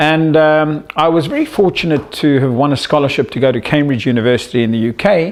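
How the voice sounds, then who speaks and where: Over noticeable background noise, a man with a South African accent talks at a moderate pace with ordinary pitch variation. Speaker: psychologist and media entrepreneur. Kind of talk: self-introduction pitch to camera.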